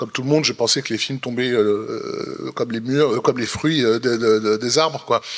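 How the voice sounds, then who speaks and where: A man speaks at a moderate pace with ordinary pitch variation. Noticeable background noise sits behind him. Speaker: film critic. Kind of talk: panel discussion. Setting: stage with audience. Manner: halting, repetitive.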